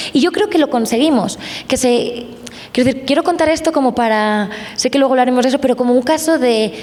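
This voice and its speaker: Over noticeable background noise, a woman with a Spanish accent speaks at a fairly quick pace in a high pitch. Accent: Spanish (Spain). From Spain. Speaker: journalist. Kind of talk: panel discussion.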